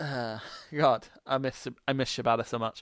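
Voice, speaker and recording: The very clean recording, with a silent background and a dry, close sound with no echo, captures a man at medium pitch with a Scottish accent. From Scotland. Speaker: wrestling podcast host. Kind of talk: solo casual podcast review. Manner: animated.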